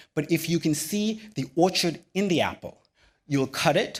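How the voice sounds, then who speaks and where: Here a man speaks at high pitch with lively intonation and a fairly slow pace. The recording is very clean, with a silent background. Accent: American. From Sri Lanka, then California from age 11. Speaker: physician and keynote speaker. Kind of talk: keynote speech. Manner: measured, rehearsed delivery.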